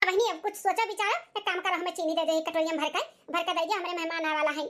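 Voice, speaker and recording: A woman does a squeaky, cartoonish character voice at an extremely high pitch. She speaks very fast with fairly even intonation. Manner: chatty, insinuating.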